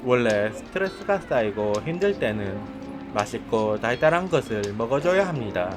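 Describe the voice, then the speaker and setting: The voice moves through very wide pitch swings as music plays in the background. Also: man. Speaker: job seeker vlogger. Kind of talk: vlog voiceover narration. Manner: deliberately altered voice.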